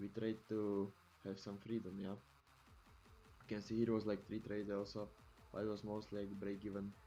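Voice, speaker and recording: With music in the background, a man speaks at a moderate pace in a fairly low, monotone voice with flat intonation. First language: not English. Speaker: futures trader. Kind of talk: screen-share tutorial. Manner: halting, with many fillers.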